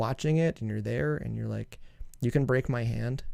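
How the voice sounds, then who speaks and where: A man with a Canadian accent mumbles with ordinary pitch variation. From Canada. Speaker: music producer and song reviewer. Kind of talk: casual review commentary. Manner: mumbling; fast.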